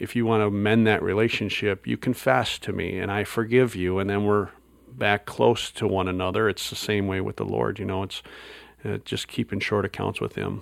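With an Upper Midwest accent, a man speaks at a fairly low pitch, a moderate pace and ordinary pitch variation. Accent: Upper Midwest American. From US Midwest, Wisconsin. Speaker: pastor. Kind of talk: interview conversation. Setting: conference recording.

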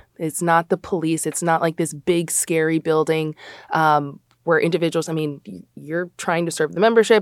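A woman with a plain, everyday voice and an American accent, fairly low in pitch, at a moderate pace with fairly even intonation, in a very clean, dry, close recording with no echo and a silent background. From Chicago, US Midwest. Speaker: college athletics compliance administrator. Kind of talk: podcast interview.

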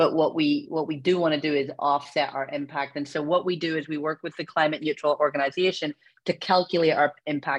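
Speaking in a Belfast accent, a woman with a very deep, low voice talks at a fairly quick pace in a flat monotone, with hardly any pauses. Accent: Northern Irish, Belfast. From Belfast, Northern Ireland. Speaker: company founder and CEO. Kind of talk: interview.

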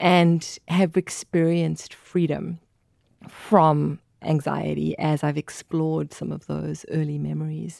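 A woman's very slow speech with a South African accent, dry and close with no echo. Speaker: mental health specialist and vicar. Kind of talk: interview. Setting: studio.

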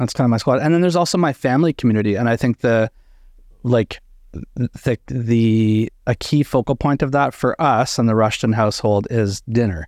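A man with a plain, everyday voice speaks at a medium pitch with ordinary pitch variation and very even loudness. The sound is dry and close with no echo, over a quiet background. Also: moderate pace. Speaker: co-host, talks about theology and history. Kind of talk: casual group discussion.

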